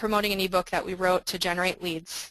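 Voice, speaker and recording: A woman talks at a fairly quick pace in a medium pitch. Her tone is bright and sharp, her intonation monotone and flat. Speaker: software marketing presenter. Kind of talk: webinar product demo. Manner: fast.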